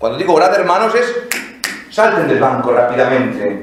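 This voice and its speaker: A man with a Madrid accent talks at a fairly quick pace in an animated tone, his pitch swinging very widely. Room echo is audible and background noise is noticeable. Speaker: priest giving a liturgy lecture. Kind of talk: lecture. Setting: basilica with live audience. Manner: animated, conversational.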